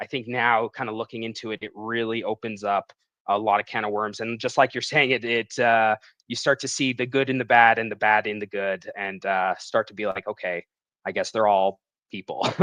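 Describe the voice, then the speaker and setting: The sound is dry and close with no echo. A man with a slight Canadian accent speaks at a fairly quick pace and medium pitch, with fairly even intonation. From Western Canada, Vancouver area. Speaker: comic book writer. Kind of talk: casual interview. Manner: hesitant, many fillers.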